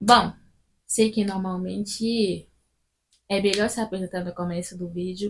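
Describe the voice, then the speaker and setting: A somewhat breathy woman at a medium pitch, fairly slow pace, and monotone, flat intonation, with long, frequent pauses and big swings in loudness. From Gabon. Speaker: student vlogger. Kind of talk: casual vlog talk to camera.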